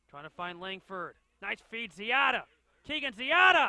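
A man speaks in a raised, projected voice at a moderate pace, the sound dry and close with no echo. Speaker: soccer play-by-play commentator. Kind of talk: live sports commentary over match highlights. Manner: clipped, urgent calls of names and shots.

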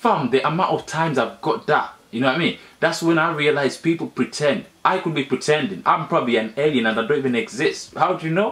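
Speaking at a fairly quick pace with few pauses, a man uses a fairly high pitch, a fairly bright tone and ordinary pitch variation.

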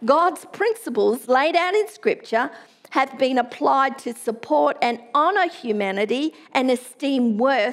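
With an Australian accent, a woman speaks high-pitched at a fairly slow pace. Her intonation is lively. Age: middle-aged. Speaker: pastor. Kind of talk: sermon. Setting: church. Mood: earnest, measured. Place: church. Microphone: headset.

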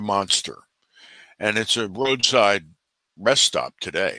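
Against a quiet background, a man talks at a fairly slow pace in a dry sound with no echo. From New Jersey. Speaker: bigfoot researcher and author; podcast guest. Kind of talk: interview conversation. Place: home room.

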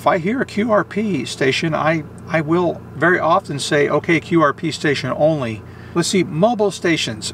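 Over light background noise, a man speaks with lively intonation in a dry sound with no echo. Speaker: amateur radio operator. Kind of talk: tutorial. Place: car. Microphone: phone near.

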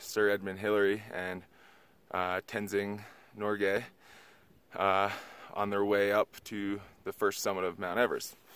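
A man mumbles in a fairly low voice at a fairly slow pace. His intonation is monotone and flat, and the sound is dry with no echo. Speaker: trekker vlogger. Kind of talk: casual vlog talk to camera. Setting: outdoors. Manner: hesitant, mumbling with many fillers. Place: open country. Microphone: phone near.

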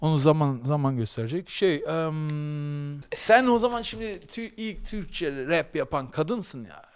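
A man's fairly high voice at a very slow pace, with very wide pitch swings and big swings in loudness. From Germany, Berlin; Germany. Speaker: podcast host. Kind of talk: casual chat. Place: studio. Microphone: studio mic.

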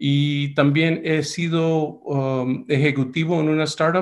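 A man against a quiet background. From United States, Mexican family. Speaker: medical device entrepreneur and investor. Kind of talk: webinar talk. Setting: video call. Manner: hesitant, many fillers. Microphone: webcam.

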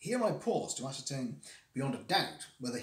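Here the reading is done in a natural reading voice.

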